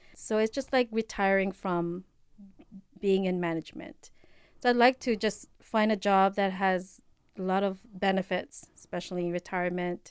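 With a Filipino accent, a woman speaks at medium pitch with fairly even intonation in a very clean recording with a silent background. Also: moderate pace. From Philippines. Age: 40s. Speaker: healthcare worker. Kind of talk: casual chat.

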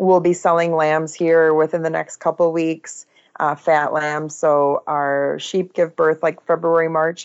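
A woman's fairly low voice in an American accent, monotone and flat in intonation, at a fairly slow pace. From US Midwest, Oshkosh, Wisconsin. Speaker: farmer and online influencer. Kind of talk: casual interview.

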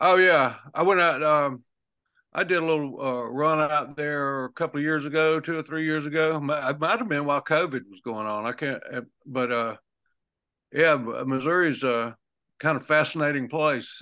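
A man with a Southern US accent and a fairly high pitch speaks at a moderate pace over a quiet background. His tone is bright and sharp, with ordinary pitch variation. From southern Alabama, US South. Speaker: singer-songwriter. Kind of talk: casual interview. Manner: halting.

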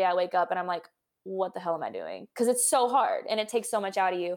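Over a very clean recording with a silent background, a woman speaks at medium pitch with ordinary pitch variation in an ordinary speaking voice. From Texas, San Antonio. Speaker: doctor. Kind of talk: casual interview.

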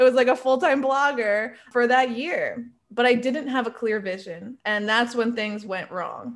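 A woman with an American accent and an ordinary speaking voice, at a moderate pace with ordinary pitch variation. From New York State. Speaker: travel content creator. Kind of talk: interview.

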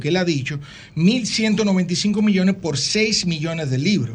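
Heard with audible room echo, a man speaks at a fairly slow pace with ordinary pitch variation. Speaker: publishing industry executive. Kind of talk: interview.

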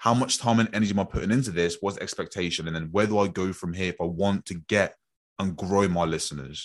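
Over a quiet background, a man with a British accent and a very deep, low pitch talks at a very fast pace with ordinary pitch variation. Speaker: podcast host and coach. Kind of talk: casual conversation, podcast discussion.

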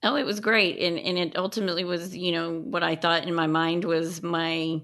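A woman speaks with a Texan accent in a fairly low voice. Her intonation is fairly even. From West Texas. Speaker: tax attorney. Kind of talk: interview.

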